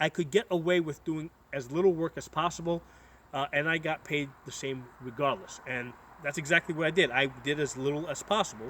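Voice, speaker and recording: Here is a man with an American accent and a fairly high pitch. His tone is bright and sharp, and his pace fairly quick. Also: ordinary pitch variation. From United States. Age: 40s. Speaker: political commentator vlogger. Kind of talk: casual monologue. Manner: halting, many fillers and repetitions.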